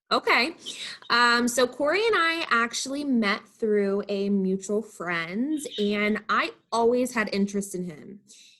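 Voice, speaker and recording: A woman with a fairly high pitch speaks loudly and at a fairly slow pace, her tone bright and sharp and her intonation lively. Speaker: event venue manager. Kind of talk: casual interview chat. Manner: loud, talkative.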